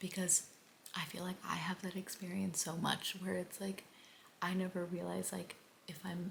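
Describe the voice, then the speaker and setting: Soft-spoken and monotone, a woman with a fairly low pitch and an American accent talks at a moderate pace in flat intonation over noticeable background noise. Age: 20s. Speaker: book vlogger. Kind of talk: casual vlog talk. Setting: at home at night.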